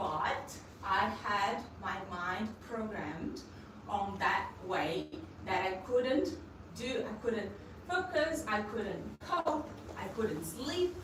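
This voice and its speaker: At a very slow pace, a woman speaks at a fairly high pitch with very wide pitch swings and long, frequent pauses, and audible room echo surrounds her. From Brazil. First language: Portuguese. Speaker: Reiki practitioner. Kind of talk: personal testimony. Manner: halting.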